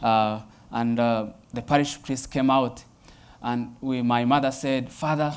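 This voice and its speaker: Speaking in a Rwandan accent, a man with a medium pitch talks at a fairly slow pace in a monotone, flat intonation, leaving long, frequent pauses. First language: Kinyarwanda. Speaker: Jesuit priest. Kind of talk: personal testimony talk. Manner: hesitant with frequent fillers.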